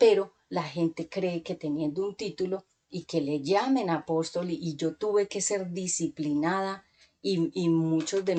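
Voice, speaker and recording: A woman speaks fairly slowly in a dark, mellow tone at a fairly low pitch with ordinary pitch variation. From Colombia. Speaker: preacher. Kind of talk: sermon.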